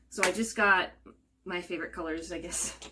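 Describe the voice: A woman with a fairly low pitch and a bright, sharp tone talks at a moderate pace with fairly even intonation, and audible room echo surrounds her.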